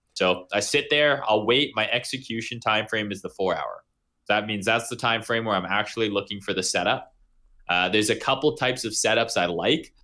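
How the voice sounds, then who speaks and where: Over a very clean recording with a silent background, a man with a medium pitch and a bright, sharp tone speaks at a fairly quick pace with ordinary pitch variation. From Canada. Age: 20s. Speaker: crypto trader. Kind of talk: podcast interview.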